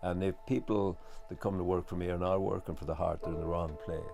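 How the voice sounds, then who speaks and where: With music in the background, a man speaks at a very deep, low pitch with an Irish accent. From west of Ireland. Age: 60s. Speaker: farmer. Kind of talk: documentary interview. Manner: halting, many fillers.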